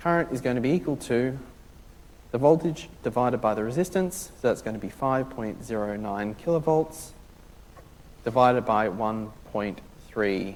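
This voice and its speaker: A man at a medium pitch with lively intonation and long, frequent pauses. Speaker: university lecturer. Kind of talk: lecture. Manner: fast; loud.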